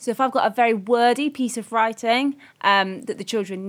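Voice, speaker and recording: Her pitch varying in an ordinary way, a woman with an ordinary speaking voice talks at a moderate pace. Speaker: primary teacher, podcast host. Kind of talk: casual discussion podcast.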